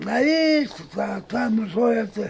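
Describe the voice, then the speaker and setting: The man's voice sits at a high pitch. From Cajamarca, Peru. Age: 80s+. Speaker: retired farmer. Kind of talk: interview answer. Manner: hesitant, halting.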